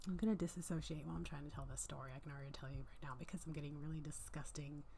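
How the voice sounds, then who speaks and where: A soft-spoken woman with a very deep, low pitch and a dark, mellow tone talks at a very fast pace with vocal fry, and audible room echo surrounds her. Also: fairly even intonation. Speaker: vlogger sharing personal stories. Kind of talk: casual storytime monologue. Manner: rambling with many fillers.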